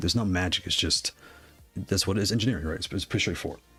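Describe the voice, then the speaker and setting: This man's voice is fairly low in pitch and somewhat breathy, with ordinary pitch variation. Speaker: livestream host reviewing game controllers. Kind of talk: livestream tutorial and chat. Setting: livestream. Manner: fast; casual, repetitive.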